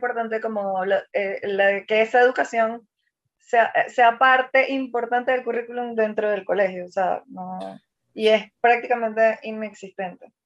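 A woman with a normal speaking voice talks at a fairly high pitch, fairly slowly and with fairly even intonation. Her loudness swings widely against a quiet background. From Venezuela, Maracaibo (Zulia). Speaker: ballet dancer. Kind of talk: interview conversation.

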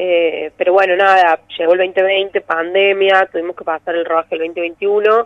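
Speaking at a fairly slow pace with hardly any pauses, a woman keeps a medium pitch and a monotone, flat intonation. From Argentina, Córdoba. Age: 30s. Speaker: film director. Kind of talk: interview. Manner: hesitant, many fillers.

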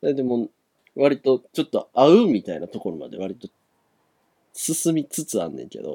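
A man speaks at a moderate pace with big swings in loudness and long, frequent pauses. The sound is dry and close, with no echo. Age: 20s. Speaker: podcast co-host. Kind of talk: casual chat.

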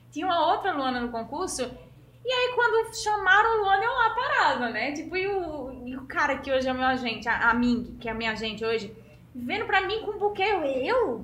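Woman with a high pitch and a bright, sharp tone, very wide pitch swings, a moderate pace, and audible room echo. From Pernambuco interior, Brazil (Serra Talhada). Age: 30s. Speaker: fashion model. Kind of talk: interview.

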